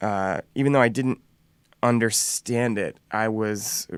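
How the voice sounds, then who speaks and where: This man has an American accent and a medium pitch. His intonation is fairly even. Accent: slight Southern drawl, mostly hidden. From US South, North Carolina. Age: 30s. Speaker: musician. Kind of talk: interview.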